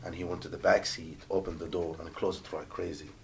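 At a fairly quick pace, a man talks with an Arabic accent. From Jordan. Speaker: rideshare driver. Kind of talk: casual chat.

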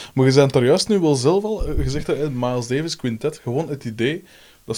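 With a Flemish accent, a man speaks at a moderate pace in a dark, mellow tone, his medium pitch showing ordinary variation. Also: very clean recording, silent background. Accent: Flemish Dutch. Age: 30s. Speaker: podcast host, musician. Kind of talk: casual interview.

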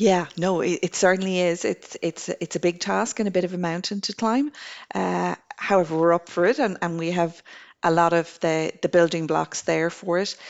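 A woman with an Irish accent, fairly low in pitch, with ordinary pitch variation at a moderate pace. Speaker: government energy program coordinator. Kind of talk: interview. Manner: halting, with repetitions.

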